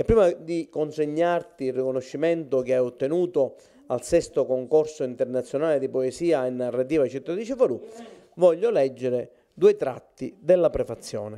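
A man with an unremarkable speaking voice talks in a fairly high pitch with ordinary pitch variation. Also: moderate pace. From Sicily (Cefalù); Sicily. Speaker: literary society president; host presenting an award. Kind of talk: formal speech. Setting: at the guest's home. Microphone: handheld.

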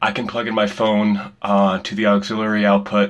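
Against a quiet background, a man speaks in a fairly low voice. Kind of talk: casual vlog chat. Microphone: phone near.

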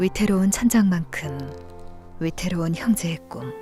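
A woman's fairly low, calm, gentle voice at a fairly slow pace, with ordinary pitch variation and music in the background. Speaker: voice actor. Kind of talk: charity appeal narration.

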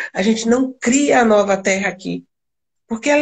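A woman with a high pitch speaks in a Brazilian accent. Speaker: spiritual channeler and live stream host. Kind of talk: casual spiritual chat on a live stream. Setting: video call live stream.

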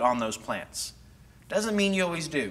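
With a Texan accent, this man talks at a moderate pace in a high pitch, his tone bright and sharp and his intonation lively. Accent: Texan American English. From North Texas. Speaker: horticulturist giving a gardening class; presenter. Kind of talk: lecture. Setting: classroom with live audience, on a mic. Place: hall. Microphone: lapel.

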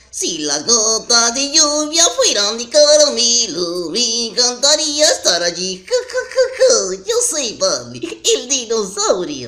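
A put-on character voice with a fairly high pitch and a cheerful tone, delivered at a fairly slow pace. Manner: goofy, cheerful, laughing.

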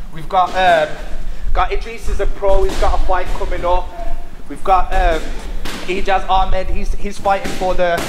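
A man's voice at a moderate pace with long, frequent pauses and noticeable background noise. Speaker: gym host showing the place. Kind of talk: casual tour chat. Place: gym. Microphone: handheld.

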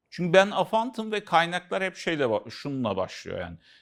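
Very wide pitch swings mark this man's voice on a very clean recording with a silent background. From Central Anatolia, Turkey. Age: 50s. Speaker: author and consultant on aphantasia. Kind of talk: casual educational conversation.

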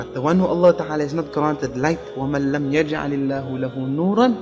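Music plays in the background as a man speaks at a moderate pace in a fairly high voice. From Cape Town, South Africa. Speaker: Islamic scholar and imam. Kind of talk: religious talk.

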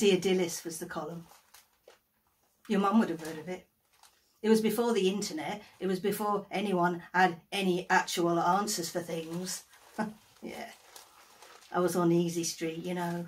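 A woman's somewhat breathy voice, monotone and flat, with long, frequent pauses. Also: moderate pace. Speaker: actor playing an agony aunt. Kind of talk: theatrical monologue. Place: home room. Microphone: phone near.

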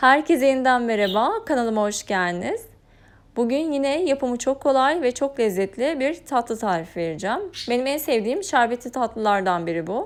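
A high-pitched woman speaks at a moderate pace. Her pitch swings very widely. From Turkey, Eskişehir. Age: 30s. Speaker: cooking YouTuber. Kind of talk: cooking tutorial narration. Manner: calm, instructional with hesitations.

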